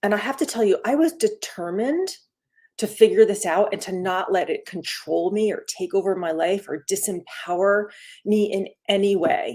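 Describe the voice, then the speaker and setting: An unremarkable speaking voice from a woman, medium-pitched with lively intonation, at a moderate pace. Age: 60s. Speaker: wellness coach. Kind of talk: live stream talk. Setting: live stream video. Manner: casual, conversational.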